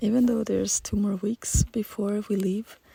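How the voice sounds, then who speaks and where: A woman speaks at a medium pitch with monotone, flat intonation and a somewhat breathy voice. The sound is dry and close with no echo. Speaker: journaling YouTuber. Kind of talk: casual vlog talk. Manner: halting.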